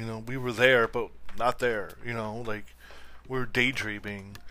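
With a western New York accent, the voice has a bright, sharp tone and monotone, flat intonation at a fairly slow pace. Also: man. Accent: western New York (Inland North). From Buffalo area, western New York. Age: 40s. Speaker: podcast host, sports fan commentator. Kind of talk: casual solo sports talk. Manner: rambling with many fillers.

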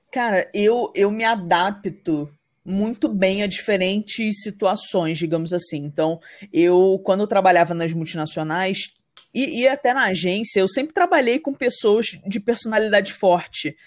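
An unremarkable speaking voice from a woman, medium in pitch, fairly slow, with lively intonation and a very clean recording over a silent background. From Rio de Janeiro state interior, Brazil. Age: 30s. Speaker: entrepreneur, marketing business founder. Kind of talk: podcast interview, casual chat.

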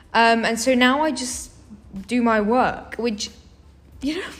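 With audible room echo, a woman talks at a fairly slow pace in a high voice. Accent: British. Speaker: university student. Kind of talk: casual chat.

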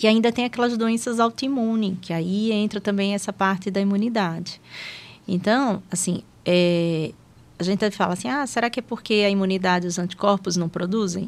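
A woman's plain, everyday voice, medium-pitched with ordinary pitch variation, at a moderate pace. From Sergipe, northeastern Brazil (Aracaju). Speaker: geriatrician. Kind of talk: casual interview.

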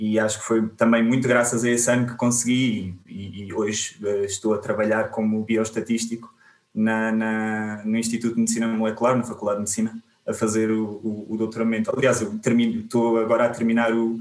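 Delivery from this man is fairly quick, medium in pitch and monotone, with flat intonation. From Portugal, Alentejo. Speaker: biostatistician. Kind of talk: interview. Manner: halting, many repetitions.

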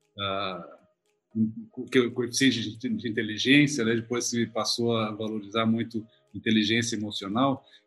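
With music in the background, a medium-pitched man speaks in a monotone at a fairly slow pace, with flat intonation and hardly any pauses. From Porto Alegre, southern Brazil. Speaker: company executive. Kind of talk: casual interview chat.

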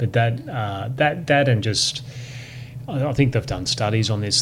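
Through noticeable background noise, a man with an Australian accent talks at medium pitch with ordinary pitch variation. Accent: local Australian. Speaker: lawyer and author. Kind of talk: casual interview. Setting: in person.

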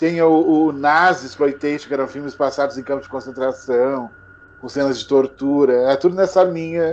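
Speaking at a moderate pace, a man with a fairly high pitch keeps his intonation fairly even while his loudness swings widely. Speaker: horror film YouTuber. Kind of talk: casual chat. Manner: halting, repeats words.

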